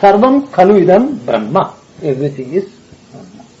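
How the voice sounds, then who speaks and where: Speaking at a moderate pace, a man with a high pitch moves through very wide pitch swings. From India. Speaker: Jungian analyst. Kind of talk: filmed conversation.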